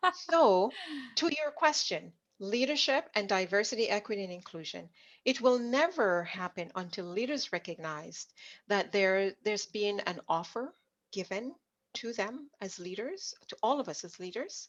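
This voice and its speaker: Over a quiet background, a woman speaks at a moderate pace from a medium pitch, with very wide pitch swings and big swings in loudness. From Jamaica. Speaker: leadership consultant and coach. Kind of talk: interview conversation. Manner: animated.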